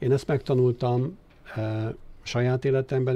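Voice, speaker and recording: Dark, mellow, somewhat breathy tone from a man. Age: 60s. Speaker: philanthropist, former investment banker. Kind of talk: interview. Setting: studio. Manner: hesitant, many filler sounds.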